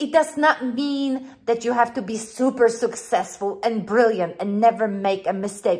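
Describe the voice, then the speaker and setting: A woman speaks at a fairly slow pace with a slight non-native accent. Her pitch is fairly high and her intonation lively. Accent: slight non-native, mispronounces words. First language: not English. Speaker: life coach and author. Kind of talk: motivational video talk. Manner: animated.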